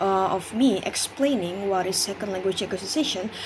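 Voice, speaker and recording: Noticeable background noise sits behind a woman who speaks at medium pitch with ordinary pitch variation and an Indonesian accent. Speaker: university student. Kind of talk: class presentation. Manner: halting, many fillers.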